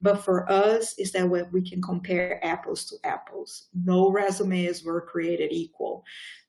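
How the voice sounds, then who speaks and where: Moderate-paced speech with a non-native accent. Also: woman. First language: not English. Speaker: public sector recruiter. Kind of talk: panel discussion.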